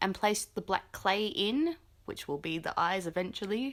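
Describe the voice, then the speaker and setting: A woman's pitch swings very widely in a playful tone. The recording is very clean, with a silent background. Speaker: guest voiceover narrator. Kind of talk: casual improvised voiceover reacting to a craft video. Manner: casual, playful.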